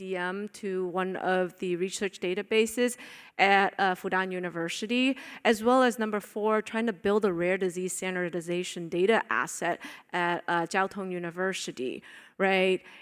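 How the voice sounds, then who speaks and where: With a non-native accent, a woman speaks at a moderate pace. The recording is very clean, with a silent background. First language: not English. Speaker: panel chair and conference speaker. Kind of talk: conference presentation. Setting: stage with audience. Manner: casual, joking; halting, with fillers.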